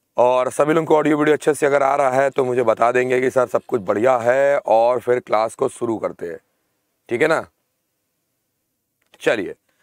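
Over a quiet background, a man speaks at a moderate pace with fairly even intonation. The sound is dry with no echo, and his pauses are long and frequent. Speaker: online exam-prep teacher. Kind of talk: lecture. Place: studio.

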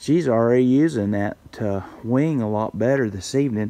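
In a dark, mellow tone, a man speaks at a moderate pace with ordinary pitch variation. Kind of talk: casual vlog chat. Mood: relaxed, pleased. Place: farm machine. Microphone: phone near.

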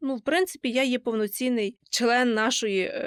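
On a very clean recording with a silent background and a dry, close sound without echo, a woman with a normal speaking voice talks at a fairly slow pace. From western Ukraine, Lviv region. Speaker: university student. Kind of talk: interview.

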